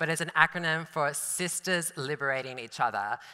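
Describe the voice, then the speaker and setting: A woman speaks at a fairly quick pace in a fairly low voice with ordinary pitch variation. Her tone is bright, sharp and animated. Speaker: dancer and artist. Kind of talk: talk to an audience. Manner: fast.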